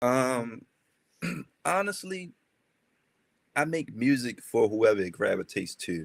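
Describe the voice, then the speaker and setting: A man with a Baltimore accent talks in very wide pitch swings, leaving long, frequent pauses. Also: medium pitch for a man, fairly slow pace. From Baltimore, East Baltimore. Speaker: rapper. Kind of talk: interview. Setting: livestream interview. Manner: halting, many fillers.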